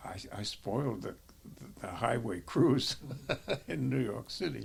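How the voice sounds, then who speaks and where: A man with a fairly low voice speaks at a fairly slow pace, with vocal fry. His pitch swings very widely. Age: 80s+. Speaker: war veteran. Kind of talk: interview. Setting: retirement community. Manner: halting.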